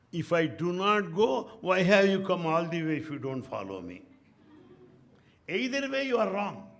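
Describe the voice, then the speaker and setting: In an Indian accent, the speaker talks at a moderate pace in an animated tone, with lively intonation, big swings in loudness, and long, frequent pauses. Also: man, high pitch for a man. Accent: Indian English, Telugu. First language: Telugu. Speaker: spiritual speaker, retired professor. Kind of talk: spiritual talk with anecdotes.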